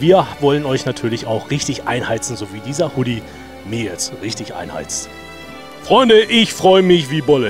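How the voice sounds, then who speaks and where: Clear music plays behind a man speaking at a moderate pace. His fairly high voice makes very wide pitch swings. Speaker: stadium announcer. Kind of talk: casual talk to camera. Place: stadium. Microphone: handheld.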